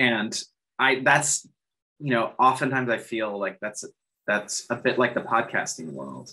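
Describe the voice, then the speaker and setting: Speaking with an American accent, a man uses a bright, sharp tone at medium pitch, with vocal fry. His pace is fairly slow, with long, frequent pauses. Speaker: podcast producer. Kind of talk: conference talk. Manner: hesitant, casual, many filler words.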